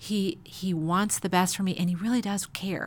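With monotone, flat intonation, a woman speaks at a medium pitch in a somewhat breathy voice. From Chicago. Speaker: pastor's wife. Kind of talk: casual interview.

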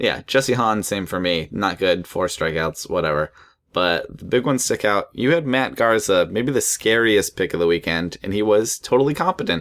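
In a normal speaking voice, a man with fairly low pitch talks at a moderate pace with lively intonation and hardly any pauses, on a very clean recording with a silent background. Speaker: fantasy baseball podcast host. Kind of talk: casual chat.

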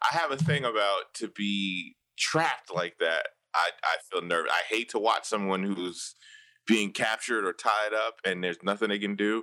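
On a very clean recording with a silent background, a man with a fairly low, bright, sharp voice speaks at a moderate pace with ordinary pitch variation. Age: 40s. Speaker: podcaster, guest host. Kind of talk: casual chat.

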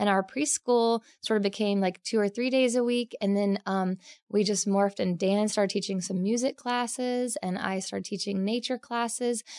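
Against a quiet background, a woman talks in a plain, everyday voice. Her intonation stays fairly even. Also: fairly high pitch for a woman, moderate pace, dry, close sound with no echo. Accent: American. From Oklahoma, US. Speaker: naturalist educator. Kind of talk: casual interview chat.

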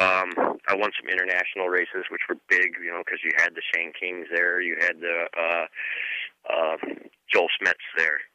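Recorded with a dry, close sound and no echo, a man with an American accent speaks at a moderate pace. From Michigan. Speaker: retired motocross racer. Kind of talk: casual interview.

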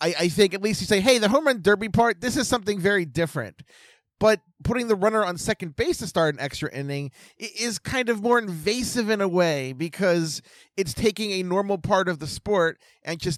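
Recorded very cleanly with a silent background, a man speaks at a high pitch and a fairly quick pace in a dry, close sound with no echo. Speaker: podcast host. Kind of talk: casual chat.

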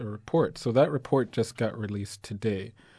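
Against a quiet background, a man with a dark, mellow tone speaks at medium pitch and a moderate pace. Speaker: radio co-host and organizer. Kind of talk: casual radio talk. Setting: studio.

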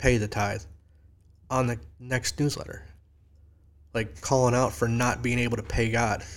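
Speaking with an upstate New York accent, a man uses a medium pitch and a moderate pace, with vocal fry. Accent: upstate New York (Inland North). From upstate New York (near Syracuse, Lake Ontario). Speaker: local community organizer and graphic designer. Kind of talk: casual chat. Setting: studio.

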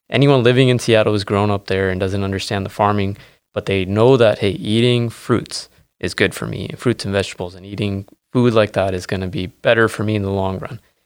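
In a very clean recording with a silent background, a man with an American accent uses an ordinary speaking voice, fairly low in pitch, at a fairly quick pace with fairly even intonation. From Washington State, US Pacific Northwest. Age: 30s. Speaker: berry farmer. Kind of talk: casual interview.

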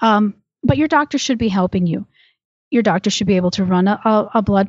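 Using an unremarkable speaking voice, the woman talks fairly quickly at a medium pitch, her pitch moving in an ordinary way. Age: 40s. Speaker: women's health app founder. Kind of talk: informative interview.

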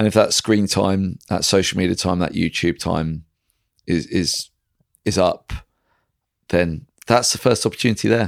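A man's fairly low voice at a moderate pace, with long, frequent pauses and ordinary pitch variation. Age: 40s. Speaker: strength and fitness coach. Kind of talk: casual interview chat.

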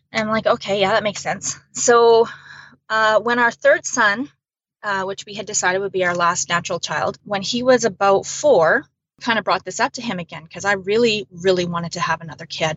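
Speaking at a medium pitch, a woman uses an ordinary speaking voice with a Canadian accent. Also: ordinary pitch variation, fairly quick pace. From central Alberta, Canada. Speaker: bereaved mother and blogger. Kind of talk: testimony.

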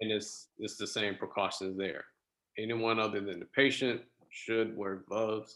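A man's fairly low voice in an American accent, fairly slow in pace and fairly even in intonation. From US South, South Florida (West Palm Beach). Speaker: oncology pharmacist. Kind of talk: interview. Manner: halting, many fillers.

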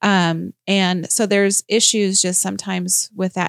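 A woman speaks in a plain, everyday voice at a medium pitch with fairly even intonation, recorded very cleanly against a silent background with a dry, close sound and no echo. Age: 40s. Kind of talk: interview.

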